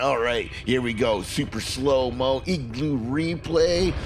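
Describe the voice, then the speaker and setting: An upbeat, energetic male voice, medium in pitch, at a fairly slow pace, with very wide pitch swings over noticeable background noise. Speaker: diecast racing commentator. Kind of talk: sports play-by-play commentary.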